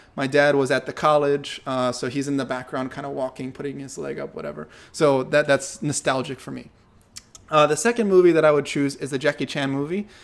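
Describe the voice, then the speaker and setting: Using a plain, everyday voice, a man with an American accent speaks at a fairly quick pace and a fairly high pitch with ordinary pitch variation. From United States. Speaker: movement and martial arts teacher. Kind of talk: casual Q&A monologue. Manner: relaxed, many fillers.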